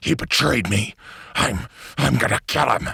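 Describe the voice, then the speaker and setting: A man does a growling put-on character voice. He keeps a moderate pace at a fairly low pitch. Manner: through gritted teeth, snarling.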